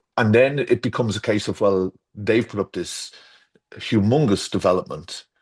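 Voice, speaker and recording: Against a quiet background, a man with an Irish accent speaks at a moderate pace and a fairly low pitch with ordinary pitch variation, in a dry, close sound with no echo. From Ireland. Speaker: garden designer. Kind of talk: casual chat. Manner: halting.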